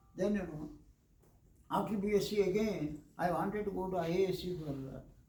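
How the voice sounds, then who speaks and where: A man speaks at a fairly quick pace with a high pitch and ordinary variation. His tone is dark and mellow, with audible room echo. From India, Andhra Pradesh. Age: 70s. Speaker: retired engineer, lecture speaker. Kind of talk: lecture.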